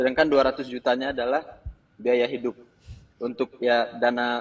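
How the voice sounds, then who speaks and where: Speaking at a moderate pace, a man leaves long, frequent pauses. His medium-pitched voice stays monotone and flat. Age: 20s. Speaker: caller asking for financial advice. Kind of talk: call-in question on a live show. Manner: halting, with hesitations.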